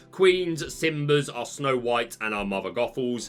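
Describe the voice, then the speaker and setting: Lively intonation from a man with a British accent, at a moderate pace. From Britain. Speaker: card game content creator. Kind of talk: deck review commentary. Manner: casual, with frequent fillers and repetitions.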